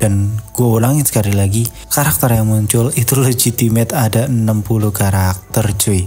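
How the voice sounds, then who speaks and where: A soft-spoken man talks at a fairly quick pace with fairly low pitch and fairly even intonation. Music plays in the background. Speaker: movie news YouTuber. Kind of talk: casual video commentary. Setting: home recording at night. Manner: soft-spoken, quiet; casual, slangy.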